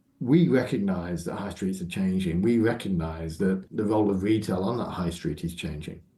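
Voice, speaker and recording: With audible room echo, a man with a very deep, low pitch speaks at a moderate pace with ordinary pitch variation and hardly any pauses. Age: 60s. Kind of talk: interview.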